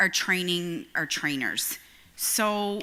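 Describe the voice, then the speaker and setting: Speaking with a Newfoundland accent, a woman has a bright, sharp tone. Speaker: union educator. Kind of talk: presentation. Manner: fast.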